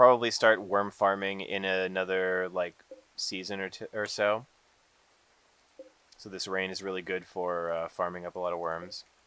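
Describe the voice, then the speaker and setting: A man with a very deep, low voice speaks at a moderate pace in a relaxed tone, his intonation monotone and flat, with long, frequent pauses and big swings in loudness. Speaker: gaming livestreamer. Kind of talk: live gameplay stream chat. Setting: home livestream. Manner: relaxed, hesitant with fillers.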